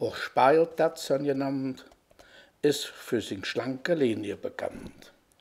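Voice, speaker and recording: A man with a Cologne accent and a fairly high pitch. He speaks at a very slow pace. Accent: Kölsch dialect. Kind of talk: dialect poetry reading.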